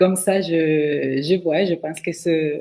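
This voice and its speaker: Here a woman talks at a fairly low pitch with fairly even intonation. She has a slight Venezuelan accent. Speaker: direct sales distributor. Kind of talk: testimony.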